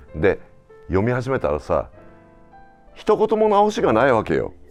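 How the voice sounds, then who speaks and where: A man keeps a moderate speed as music plays behind him. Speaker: TV director. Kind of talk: interviewer in casual conversation.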